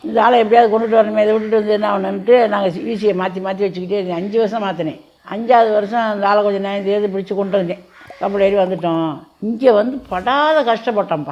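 Against noticeable background noise, a woman speaks at a medium pitch with ordinary pitch variation. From Burma. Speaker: Burma repatriate grandmother. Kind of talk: interview testimony.

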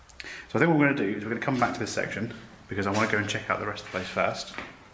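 Amid light background noise and audible room echo, a man speaks at a very fast pace. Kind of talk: casual vlog chat. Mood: curious, slightly spooked. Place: empty room. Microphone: phone near.

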